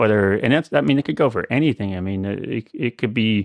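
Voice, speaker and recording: A man's fairly low voice with a Midwestern American accent, in a dry, close sound with no echo over a quiet background. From US Midwest (central Illinois). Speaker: synth module maker. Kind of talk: interview. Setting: video call; home studio.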